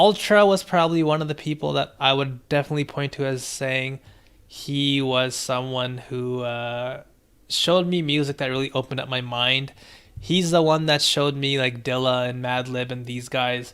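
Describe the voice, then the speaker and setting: Against a quiet background, a man with a relaxed tone speaks at medium pitch and a moderate pace, his intonation fairly even. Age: 30s. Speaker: music producer streamer reviewing beats. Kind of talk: live stream beat review and chat. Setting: live stream. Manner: casual, relaxed. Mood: reflective, warm storytelling. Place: home room.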